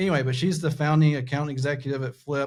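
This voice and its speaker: With a Southern US accent, a man speaks in a somewhat breathy voice and fairly even intonation. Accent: Southern American. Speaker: podcast host. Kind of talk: podcast interview. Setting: studio.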